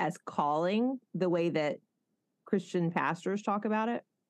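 A woman with a Southern accent, fairly low pitch, ordinary pitch variation and a fairly slow pace. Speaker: pastor and podcast host. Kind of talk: casual interview.

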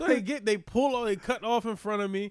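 Recorded very cleanly against a silent background, a man speaks at a high pitch. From Philadelphia, US. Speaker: comedian. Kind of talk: casual chat.

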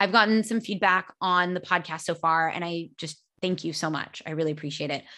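Bright and sharp in tone, a woman with a fairly low voice speaks fairly quickly, with hardly any pauses, against a quiet background. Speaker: nutrition podcast host. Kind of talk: solo educational podcast. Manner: fast talker; animated, casual.

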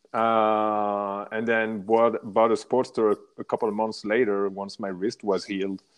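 A man with a French accent speaks at a fairly slow pace, with hardly any pauses. His voice is fairly low, with monotone, flat intonation. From France, Paris area. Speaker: motorcycle rider, traveler. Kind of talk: casual interview.

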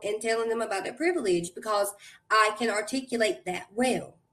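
A woman with an American accent speaks in a normal speaking voice, fairly high in pitch, with ordinary pitch variation. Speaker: guest, actress. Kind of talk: casual interview conversation.

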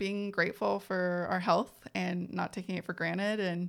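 A woman with an American accent speaks at a medium pitch and a moderate pace. The recording is very clean, with a silent background. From US West Coast, East Side San Jose, California. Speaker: photographer and creative entrepreneur. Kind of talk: casual interview. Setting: in-person podcast studio.

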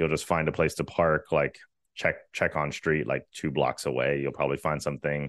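An American accent with vocal fry at a moderate pace, a dry, close sound with no echo, and a quiet background. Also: man. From Virginia. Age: 30s. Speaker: content creator. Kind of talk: casual interview.

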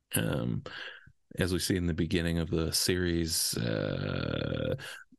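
A man with a very deep, low voice and vocal fry speaks against a quiet background. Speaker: podcast host. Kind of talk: casual chat.

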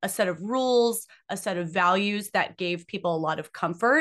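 Against a quiet background, a woman shouts loudly at a moderate pace, her bright, sharp tone animated and her intonation lively. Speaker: podcast co-host. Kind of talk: casual banter. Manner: loud, animated, screaming; excitable.

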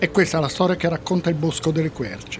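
A man's fairly high voice at a fairly quick pace, over noticeable background noise. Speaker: podcast narrator. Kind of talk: true-crime narration, scripted storytelling.

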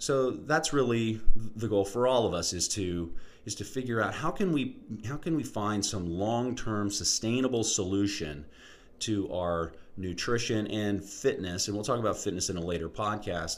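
A man with an ordinary speaking voice talks at a moderate pace, his fairly low pitch showing ordinary variation. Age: 40s. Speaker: podcast host, health and fitness educator. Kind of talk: solo educational podcast monologue.

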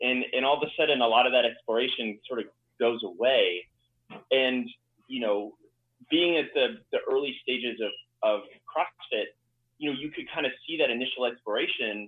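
Long, frequent pauses break up a man's speech. Between them, he talks at a moderate pace. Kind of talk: casual group conversation. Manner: casual, filler-heavy.

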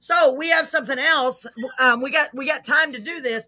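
Raised and projected, a woman's voice comes through bright and sharp, animated and fairly quick. The recording is very clean against a silent background. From Texas. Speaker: talk show host. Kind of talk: casual live-stream interview. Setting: live stream. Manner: animated, excitable.

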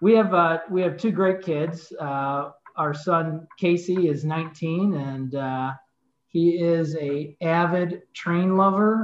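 With a Chicago accent, a man talks at a very slow pace. His pitch is high, with ordinary variation. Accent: Chicago-area American. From US Midwest, northern Illinois suburbs. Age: 50s. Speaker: insurance agency owner and sports announcer. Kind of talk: casual interview.

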